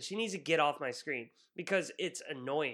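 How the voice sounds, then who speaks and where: Animated and with lively intonation, a man speaks at a moderate pace in a bright, sharp tone, captured in a very clean recording with a silent background. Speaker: wrestling podcast co-host. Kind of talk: casual banter podcast chat. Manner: animated, sarcastic; mock ring-announcer bombast.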